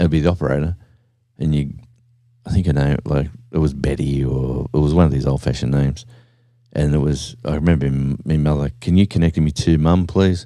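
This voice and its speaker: A man with an Australian accent, very deep and low in pitch, at a fairly quick pace. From Australia, small country town. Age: 60s. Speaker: livestreamer. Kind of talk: casual chat. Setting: at home. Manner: animated.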